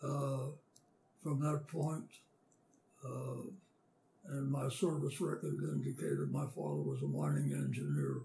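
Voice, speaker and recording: A man with an American accent at a fairly slow pace, with long, frequent pauses and noticeable background noise. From western Pennsylvania. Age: 80s+. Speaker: war veteran. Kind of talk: oral history interview. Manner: halting.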